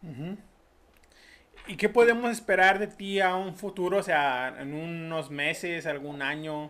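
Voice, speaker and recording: A man talks at a high pitch and a fairly slow pace. His tone is bright and sharp. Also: ordinary pitch variation. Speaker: podcast host. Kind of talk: casual interview chat.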